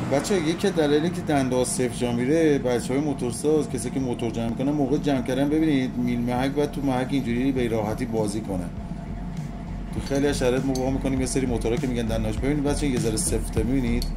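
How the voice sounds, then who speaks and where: Noticeable background noise is present throughout. Over it, a man speaks very fast. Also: ordinary pitch variation. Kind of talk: casual repair commentary. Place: workshop. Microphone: phone near.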